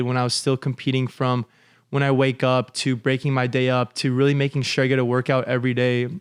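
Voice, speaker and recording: In a Californian accent, a man talks at a fairly quick pace and a medium pitch, his intonation monotone and flat. The sound is dry and close with no echo, on a very clean recording with a silent background. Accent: California American English. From Los Angeles, US. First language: Russian. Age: 20s. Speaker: commercial real estate broker and former college athlete. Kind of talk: podcast interview.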